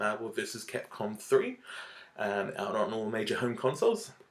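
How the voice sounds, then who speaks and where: Noticeable noise sits in the background. A man speaks at a moderate pace. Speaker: YouTube film reviewer. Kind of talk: casual vlog review. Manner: halting, filler-heavy.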